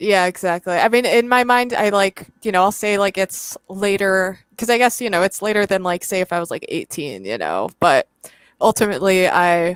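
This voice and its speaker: A woman with an unremarkable speaking voice talks at a moderate pace, medium pitch and ordinary pitch variation, in dry, close sound with no echo, on a very clean recording with a silent background. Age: 30s. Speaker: student and online content creator. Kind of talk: casual chat.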